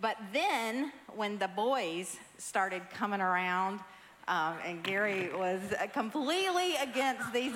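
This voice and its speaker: In a Southern US accent, a woman speaks at a very slow pace with lively intonation amid audible room echo. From US South. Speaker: pastor's wife. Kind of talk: church testimony. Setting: church stage.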